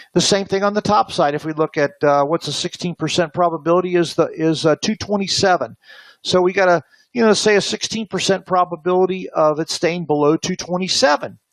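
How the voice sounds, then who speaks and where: Recorded with a dry, close sound and no echo, a man speaks at a high pitch with fairly even intonation. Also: fairly quick pace. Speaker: options trading instructor. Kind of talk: webinar lecture. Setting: online webinar. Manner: fast; hesitant, many fillers.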